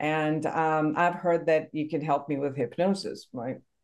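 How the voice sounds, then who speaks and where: The voice belongs to a woman with a Persian accent. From Iran. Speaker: psychotherapist and podcast host. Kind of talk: interview.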